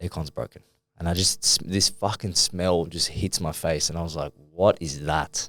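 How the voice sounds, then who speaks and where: At a moderate pace, a man with an Australian accent speaks in a very deep, low voice on a very clean recording with a silent background. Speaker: fitness coach and podcast co-host. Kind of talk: casual chat. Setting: studio. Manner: loud.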